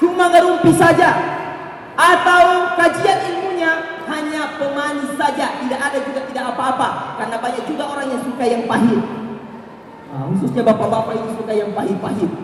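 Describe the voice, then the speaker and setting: Over noticeable background noise and audible room echo, a man talks at a fairly quick pace with an extremely high pitch and lively intonation. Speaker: Islamic preacher. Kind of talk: sermon. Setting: religious gathering with audience.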